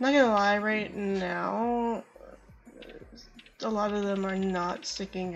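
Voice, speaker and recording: A woman with a medium-pitched voice talks at a fairly slow pace and with fairly even intonation while music plays in the background. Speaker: gamer doing a playthrough voiceover. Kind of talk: casual game commentary. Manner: hesitant, stammering.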